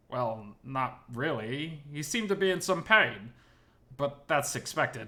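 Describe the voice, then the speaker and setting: Using a put-on character voice, a man speaks at a fairly high pitch and a fairly slow pace. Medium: read story. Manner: stuttering, flustered.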